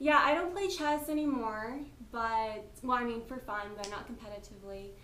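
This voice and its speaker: A woman with an American accent talks at a moderate pace in a high pitch, her intonation lively and her volume swinging widely. Audible room echo and noticeable background noise fill the recording. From US, North Carolina. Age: 20s. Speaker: interviewee. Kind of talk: interview.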